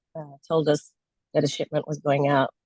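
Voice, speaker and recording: A woman with a very deep, low pitch at a moderate pace. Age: 70s. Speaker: network marketing distributor. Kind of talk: presentation to sales team. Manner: halting, many fillers.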